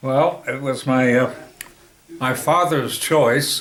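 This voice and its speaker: Noticeable background noise sits behind a man with an American accent speaking at a very slow pace. His pitch is medium and his intonation fairly even. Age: 80s+. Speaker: grandfather being interviewed by his daughter. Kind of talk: interview answer.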